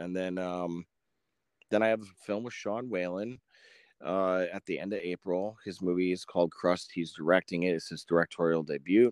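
A man speaks at a moderate pace with a very deep, low pitch and big swings in loudness, in an American accent. The recording is very clean and dry, close-miked with no echo and a silent background. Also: fairly even intonation. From Wisconsin, later Florida. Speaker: actor and producer. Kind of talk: interview.

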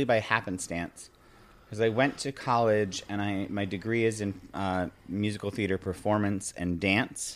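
A man's fairly low-pitched, a normal speaking voice at a moderate pace, on a very clean recording with a silent background. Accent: American. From upstate New York (Binghamton). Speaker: Broadway wardrobe and hair crew, Etsy seller. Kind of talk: casual interview chat.

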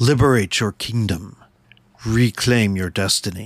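Using a put-on character voice, a man speaks at medium pitch and moderate pace. The recording is very clean, with a silent background. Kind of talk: epic, promotional. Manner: dramatic.

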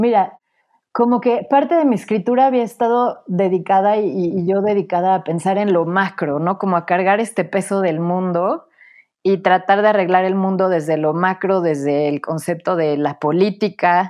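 This woman speaks at a moderate pace. Her medium pitch shows ordinary variation. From Mexico, Puebla. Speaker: author and academic. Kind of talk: interview. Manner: halting, frequent repetitions.

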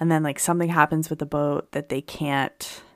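In a very deep, low pitch with vocal fry, a woman speaks with an American accent on a very clean recording with a silent background and a dry, close sound with no echo. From Pennsylvania. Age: 30s. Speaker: podcast co-host. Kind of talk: casual chat. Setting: studio.

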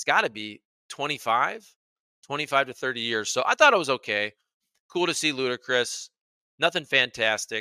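A man's animated, bright, sharp voice with lively intonation at a moderate pace, long, frequent pauses, and a dry, close, very clean recording with no echo and a silent background. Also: medium pitch for a man. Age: 40s. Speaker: sports YouTuber. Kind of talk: casual video commentary.

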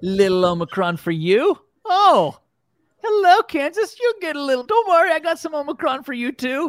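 Putting on a character voice, a man speaks at a moderate pace with extremely high pitch and big pitch swings. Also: fairly bright tone.

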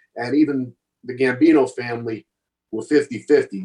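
A man's medium-pitched voice with a New York accent, a dark, mellow tone and fairly even intonation. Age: 60s. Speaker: former mobster. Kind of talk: casual chat. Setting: video call.

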